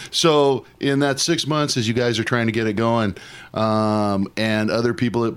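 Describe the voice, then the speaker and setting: A man with an unremarkable speaking voice at a medium pitch. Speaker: radio co-host. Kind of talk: casual chat.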